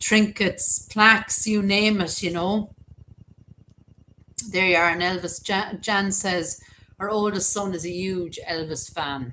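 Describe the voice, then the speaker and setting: A bright, sharp tone with an Irish accent, very slow, with fairly even intonation and long, frequent pauses. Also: woman, medium pitch for a woman. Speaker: YouTuber, cemetery videos. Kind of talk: casual live-stream chat. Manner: chatty, filler-heavy.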